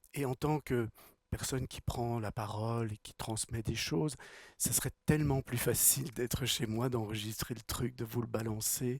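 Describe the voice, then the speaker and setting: Somewhat breathy and medium in pitch, a man speaks fairly slowly with fairly even intonation in a dry, close sound with no echo. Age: 60s. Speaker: spiritual teacher and speaker. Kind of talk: talk to a live audience. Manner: repeats words, halting at times.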